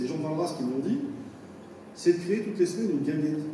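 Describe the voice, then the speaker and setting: A man talks with audible room echo and noticeable background noise behind him. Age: 50s. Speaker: municipal election candidate. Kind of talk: campaign speech.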